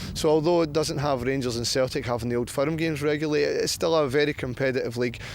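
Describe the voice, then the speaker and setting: Against noticeable background noise, a man with a Scottish accent and fairly high pitch speaks very fast with fairly even intonation. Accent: Scottish, retained. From Scotland, Glasgow. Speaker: football coach. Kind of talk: interview.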